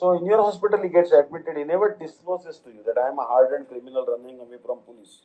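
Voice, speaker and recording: Very fast in pace, a man talks at a fairly high pitch with very wide pitch swings. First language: an Indian language. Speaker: spiritual teacher, monk. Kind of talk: religious lecture.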